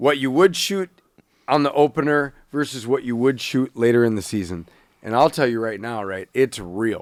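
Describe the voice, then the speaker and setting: An ordinary speaking voice with lively intonation and a dry, close sound without echo. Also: man, medium pitch for a man, moderate pace, very clean recording, silent background. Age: 40s. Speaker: podcast co-host and bow hunter. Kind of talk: casual chat.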